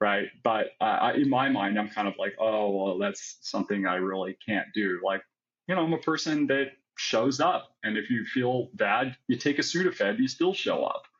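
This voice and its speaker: In an American accent, a man uses a normal speaking voice at a moderate pace with lively intonation. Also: medium pitch for a man. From United States. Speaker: psychiatric pharmacist. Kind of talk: podcast interview, personal story. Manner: casual, conversational.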